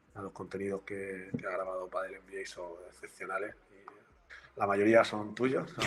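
Speaking at a fairly slow pace with hardly any pauses, a man shows big swings in loudness. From Murcia, Spain. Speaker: university lecturer and researcher. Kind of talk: live-streamed interview.

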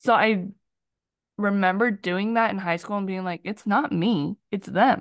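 A woman speaks in an ordinary speaking voice at a medium pitch and fairly slow pace, with ordinary pitch variation, a quiet background, and a dry, close sound with no echo. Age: 20s. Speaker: podcast co-host. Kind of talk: casual chat.

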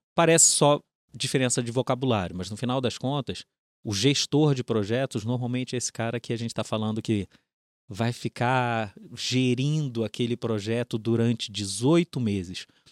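A man talks with a Rio de Janeiro accent. The sound is dry and close, with no echo. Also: medium pitch for a man, ordinary pitch variation, moderate pace. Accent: carioca. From Rio de Janeiro, Brazil. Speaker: company innovation director. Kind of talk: interview conversation.

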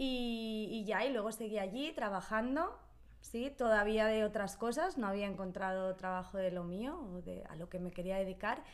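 A woman with a plain, everyday voice speaks at a moderate pace. Her pitch sits in the medium range and varies in an ordinary way. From Spain, Barcelona. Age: 30s. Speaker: Spanish teacher. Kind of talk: casual chat.

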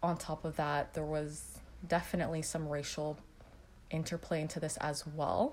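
A woman with a Canadian accent speaks in a very deep, low voice with vocal fry. Her intonation is monotone and flat. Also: moderate pace. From Canada. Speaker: public health graduate. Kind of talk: interview testimony.

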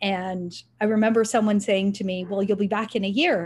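A woman speaks with a Canadian accent in a somewhat breathy voice. Her intonation stays fairly even. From Canada, Richmond Hill, Ontario. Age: 50s. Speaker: nonprofit foundation president. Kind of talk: interview.

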